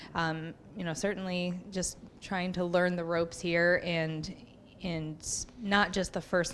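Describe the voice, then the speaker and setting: A woman talks at a fairly slow pace. Her pitch is fairly low, in a monotone, flat intonation. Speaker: new faculty member, emergency room worker. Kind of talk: audience question at workshop. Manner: loud.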